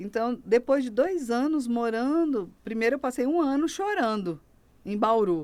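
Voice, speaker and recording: This woman speaks at a high pitch with very wide pitch swings in a northern Brazilian accent. Her pace is fairly slow. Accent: northern Brazilian, sing-song and slower. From Brazil, Rondônia (Porto Velho). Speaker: pastor. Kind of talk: testimony.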